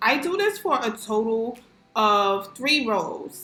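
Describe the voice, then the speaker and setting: In a New York accent, a woman speaks with an animated tone and a fairly high pitch. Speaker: crochet tutorial creator. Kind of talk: tutorial. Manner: animated, casual slang.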